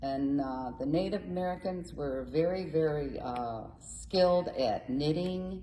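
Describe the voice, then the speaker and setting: The speaker's intonation is lively, with hardly any pauses, and audible room echo surrounds the voice. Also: woman, very deep, low pitch for a woman, fairly slow pace. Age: 80s+. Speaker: community theater group president. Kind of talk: casual interview.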